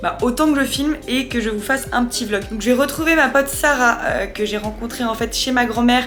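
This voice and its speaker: A woman with a high pitch speaks very fast with fairly even intonation, with audible room echo and music in the background. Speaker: vlogger. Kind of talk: casual vlog talk to camera. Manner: casual, rambling.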